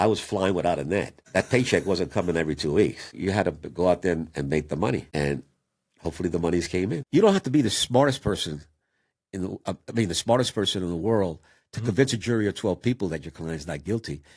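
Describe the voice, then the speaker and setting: A man with a New York accent talks at a very fast pace in a very deep, low voice with lively intonation. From Puerto Rico, raised in New York City. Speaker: defense attorney. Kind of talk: interview answer.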